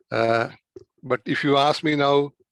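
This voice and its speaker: A man with a Keralan accent at a fairly slow pace, in a dry, close sound with no echo. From India, Kerala. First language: Malayalam. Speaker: doctor. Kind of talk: interview. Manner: halting.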